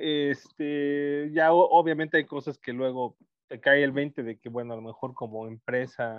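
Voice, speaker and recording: This is a plain, everyday voice with fairly even intonation. Its loudness swings widely. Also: man, fairly high pitch for a man, fairly slow pace. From Mexico, Guerrero (Chilpancingo). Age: 40s. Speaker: electronics engineer and entrepreneur. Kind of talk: casual chat.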